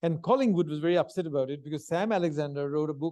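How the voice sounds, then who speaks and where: Speaking with a Bengali accent, a man has a fairly high pitch, a dark, mellow tone and ordinary pitch variation. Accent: Bengali Indian English. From India, Calcutta. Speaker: history professor. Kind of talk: lecture. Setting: stage with audience.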